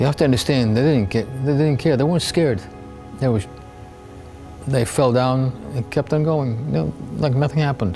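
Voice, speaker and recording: A man at medium pitch and a fairly quick pace, with very even loudness, long, frequent pauses and music in the background. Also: ordinary pitch variation. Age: 70s. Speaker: war veteran, kibbutz attack survivor. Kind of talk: interview answer.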